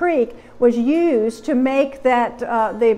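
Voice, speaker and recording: A woman speaks in a high voice with ordinary pitch variation, faint music playing in the background. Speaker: museum lecturer. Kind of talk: lecture. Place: hall. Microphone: lapel.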